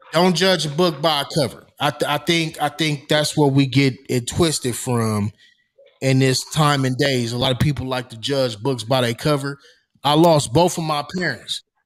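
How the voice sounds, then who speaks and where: A man's fairly high voice at a moderate pace with ordinary pitch variation, music in the background. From US West Coast, Los Angeles. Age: 40s. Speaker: podcast co-host. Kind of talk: casual podcast discussion. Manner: emphatic.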